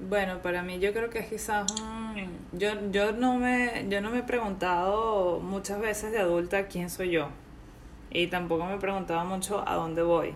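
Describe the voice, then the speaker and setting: Speaking with a Venezuelan accent, a woman is heard amid noticeable background noise and audible room echo. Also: medium pitch for a woman, fairly even intonation, fairly slow pace. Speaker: podcast host. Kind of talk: casual interview.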